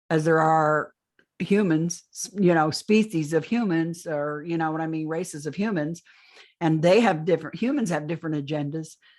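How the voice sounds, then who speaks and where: Heard in a very clean recording with a silent background, an unremarkable speaking voice keeps a moderate pace. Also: woman. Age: 60s. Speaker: alien abduction experiencer. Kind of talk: interview testimony.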